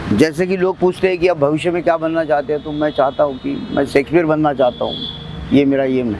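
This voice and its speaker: A man with a fairly high pitch talks at a moderate pace with ordinary pitch variation, over noticeable background noise. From Maharashtra, India. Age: 60s. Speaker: author and tea seller. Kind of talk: interview testimony.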